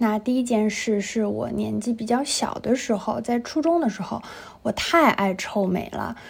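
At a moderate pace, a woman speaks with noticeable background noise present. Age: 20s. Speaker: podcast co-host. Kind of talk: casual chat.

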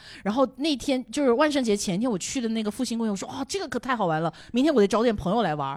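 Her pitch is fairly high as a woman, with very wide pitch swings. She talks at a very fast pace with hardly any pauses. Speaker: podcast guest. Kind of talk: casual chat.

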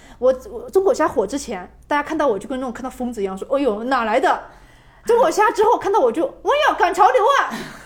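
Her pitch swinging very widely, a woman speaks at a very fast pace. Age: 20s. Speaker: travel video blogger. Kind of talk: casual chat.

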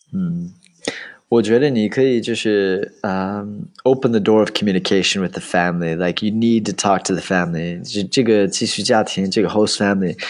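A man's fairly low voice with an English accent and ordinary pitch variation. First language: English (speaking Chinese). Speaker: study-abroad expert and tour leader. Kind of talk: casual interview chat.

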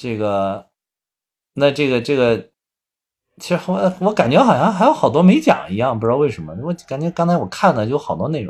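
Here is a man with a fairly high voice. His pitch swings very widely. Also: fairly quick pace. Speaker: podcast co-host. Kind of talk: casual chat. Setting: remote online recording.

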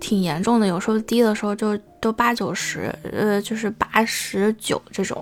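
Music in the background behind a woman with a fairly high pitch, ordinary pitch variation and a moderate pace. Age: young. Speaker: solo podcaster. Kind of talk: casual monologue. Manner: halting, many fillers.

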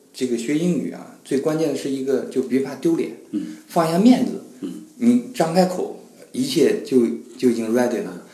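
A man speaks at a moderate pace, his pitch swinging very widely. The recording has audible room echo and noticeable background noise. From China. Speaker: human resources professional. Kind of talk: casual chat.

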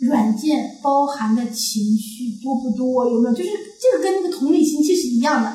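With a strong Northeastern Chinese accent, a woman speaks at a moderate pace in a high pitch with a dark, mellow tone and lively intonation, amid audible room echo. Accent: Northeastern Mandarin, strong. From Northeast China. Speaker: podcast co-host. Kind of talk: casual chat.

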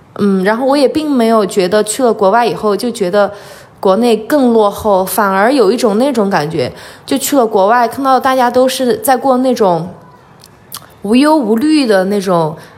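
Noticeable background noise runs under a woman's fairly high voice. She speaks at a moderate pace with ordinary pitch variation. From Sichuan, China (Liangshan / Guanghan). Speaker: archaeology worker and farm-aid volunteer. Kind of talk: interview conversation. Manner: lively, frank.

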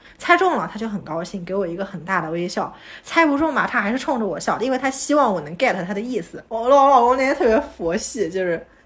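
A woman talks at a very fast pace with hardly any pauses, her fairly high pitch making very wide swings. Noticeable background noise is present. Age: 30s. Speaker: podcast co-host and new mother. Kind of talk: casual chat.

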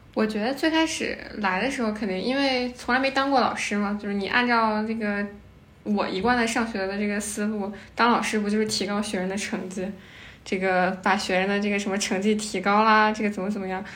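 A woman speaks at a fairly quick pace in a medium pitch. Her intonation is fairly even, and she has a plain, everyday voice. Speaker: volunteer teacher. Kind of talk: casual chat.

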